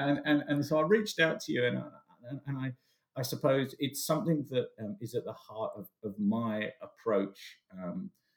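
This man has a British accent. His intonation is lively. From England. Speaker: business consultant. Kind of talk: interview.

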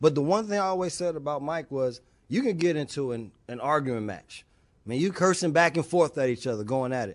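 In an American accent, a man with an unremarkable speaking voice talks at a fairly quick pace and fairly high pitch with lively intonation, against a quiet background. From US Northeast (New Jersey). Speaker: former basketball player and TV analyst. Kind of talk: interview.

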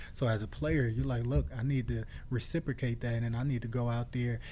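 A man with an American accent, medium pitch, a dark, mellow and somewhat breathy tone, a fairly quick pace and ordinary pitch variation. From Newark, New Jersey. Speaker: retired football player. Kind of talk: casual chat.

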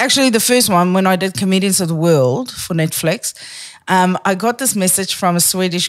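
A woman with a South African accent speaks with lively intonation on a very clean recording with a silent background. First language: Afrikaans. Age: 40s. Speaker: comedian. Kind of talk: casual chat. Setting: studio. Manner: fast talker.

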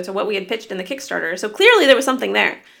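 The woman's voice is fairly high in pitch, with a bright, sharp tone. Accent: American. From Southern California. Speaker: indie game studio head and game designer. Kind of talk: casual interview.

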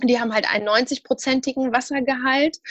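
In an Arabic accent, a woman speaks with fairly even intonation in a dry, close sound with no echo. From Syria. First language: Arabic (speaking German). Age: 30s. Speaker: nutrition student and expert. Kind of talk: interview. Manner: hesitant, many fillers.

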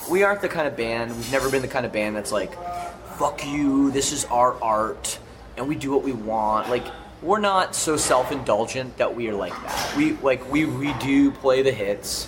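Through noticeable background noise and audible room echo, a speaker with a Canadian accent talks at a moderate pace with lively intonation. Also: man, medium pitch for a man. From Canada. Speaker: rock band singer and podcast host. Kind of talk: casual interview. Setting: festival catering area, backstage.

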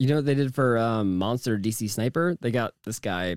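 A man with an unremarkable speaking voice, medium pitch and lively intonation, recorded very cleanly against a silent background. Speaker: podcast host who interviews guests. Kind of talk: casual banter podcast.

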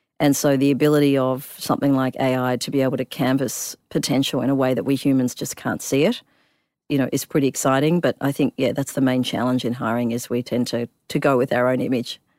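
A woman speaks at a very fast pace with a very deep, low pitch and monotone, flat intonation, in a very clean recording with a silent background and a dry, close sound with no echo. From Perth, Western Australia (immigrated from Africa when young). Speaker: tech startup founder and CEO. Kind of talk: interview.

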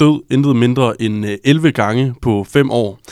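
A man talks at a very slow pace and a medium pitch, with ordinary pitch variation. The recording is very clean, the background silent. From Jutland, Struer. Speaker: journalist and co-host. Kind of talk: casual interview. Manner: hesitant, many fillers.

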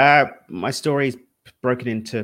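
A man speaks with an East London accent in a very clean recording with a silent background. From East London, England. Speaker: spiritual and wealth coach. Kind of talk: interview conversation.

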